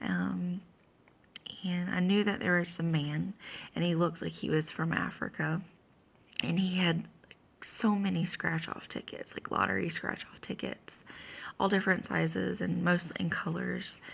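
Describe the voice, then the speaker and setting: A woman speaks quietly at a moderate pace. Her speech has long, frequent pauses. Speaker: vlogger sharing a dream. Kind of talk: casual monologue. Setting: at home early morning. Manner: quiet, hushed; halting with many fillers.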